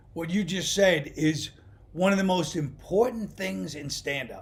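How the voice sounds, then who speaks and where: A man with a New York accent talks at a fairly slow pace. His voice is high, with ordinary pitch variation. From Brooklyn, New York. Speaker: stand-up comedian. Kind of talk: interview answer, casual conversation.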